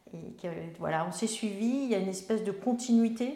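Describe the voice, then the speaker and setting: A dark, mellow tone carries at a moderate pace with ordinary pitch variation and audible room echo. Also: woman. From France, Melun (Seine-et-Marne). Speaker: member of parliament. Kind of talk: interview. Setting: on location in her town.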